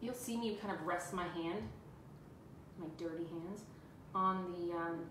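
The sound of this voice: Room echo is audible as a woman talks slowly. Her voice is fairly low with fairly even intonation.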